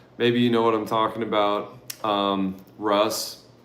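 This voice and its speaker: Audible room echo surrounds this man's voice. He speaks with an American accent at a fairly slow pace. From Oregon, US. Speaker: travel vlogger. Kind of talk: casual livestream Q&A chat. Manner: relaxed, casual.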